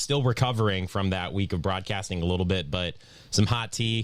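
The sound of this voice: A man's low-pitched voice at a moderate pace, ordinary pitch variation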